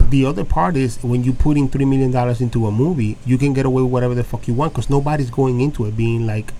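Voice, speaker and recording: Speaking at a very fast pace with hardly any pauses, a man with an American accent has a dark, mellow tone, medium pitch and fairly even intonation. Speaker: movie podcast co-host. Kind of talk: casual chat.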